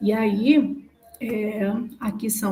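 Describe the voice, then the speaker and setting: This woman has a fairly high pitch and a dark, mellow tone. Her voice is somewhat breathy. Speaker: student defending thesis. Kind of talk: academic presentation. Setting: video call.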